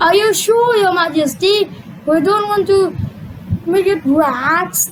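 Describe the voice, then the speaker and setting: An extremely high, female-sounding cartoonish character voice goes at a fairly slow pace amid clear background noise. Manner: prim and bossy.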